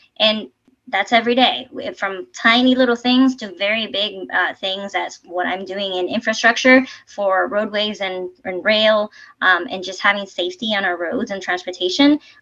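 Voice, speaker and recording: With a Spanish accent, a woman speaks at a moderate pace in a bright, sharp tone, her medium pitch showing ordinary variation. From Puerto Rico, west coast (Sabana Grande). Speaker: civil engineer, transportation official. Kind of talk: presentation talk.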